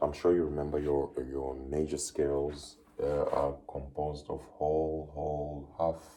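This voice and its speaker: A man speaks in a very deep, low voice that is dark, mellow and somewhat breathy. His intonation stays monotone and flat, and the room echo is audible. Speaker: music teacher. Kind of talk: lecture.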